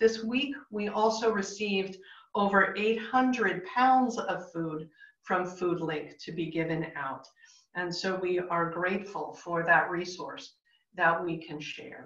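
Speaking very slowly with ordinary pitch variation and big swings in loudness, a woman is heard against a quiet background with audible room echo. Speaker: pastor leading online worship. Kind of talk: worship announcements. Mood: calm, warm, measured. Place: home room. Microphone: video call.

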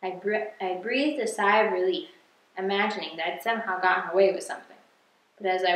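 Reading aloud in a natural voice, with intonation held fairly even

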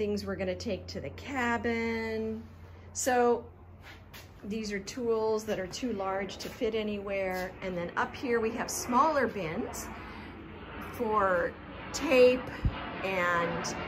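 A woman speaks at a very slow pace with long, frequent pauses and ordinary pitch variation. Noticeable background noise runs underneath. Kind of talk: casual vlog chat. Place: garage. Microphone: phone near.

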